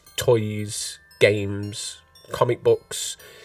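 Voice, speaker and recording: A man speaks with music playing in the background. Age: 40s. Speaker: podcast host. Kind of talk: casual chat. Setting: live stream.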